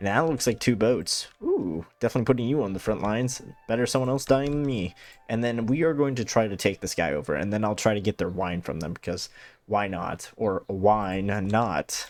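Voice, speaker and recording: The speaker talks at a fairly quick pace with lively intonation. Music plays in the background. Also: man, fairly low pitch for a man. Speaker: gaming YouTuber. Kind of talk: let's play commentary. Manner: casual, thinking aloud with fillers.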